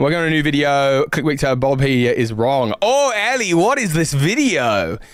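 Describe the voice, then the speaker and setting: A man with a British accent talks at a moderate pace, his pitch swinging very widely. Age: 30s. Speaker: gaming streamer. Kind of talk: casual live stream chat. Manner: halting.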